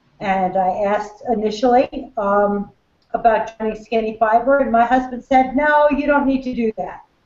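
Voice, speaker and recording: A woman with an unremarkable speaking voice and fairly high pitch talks in an American accent at a fairly slow pace, with ordinary pitch variation. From USA. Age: 60s. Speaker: business team member. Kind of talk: testimony.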